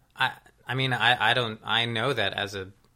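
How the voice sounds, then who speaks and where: Ordinary pitch variation from a man amid noticeable background noise. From New Jersey, Princeton. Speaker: musician. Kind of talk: casual chat. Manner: halting.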